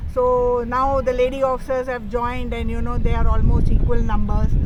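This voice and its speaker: A woman's voice in an Indian accent, at a moderate pace, with noticeable background noise and audible room echo. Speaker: air force officer and amateur rally rider. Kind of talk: interview.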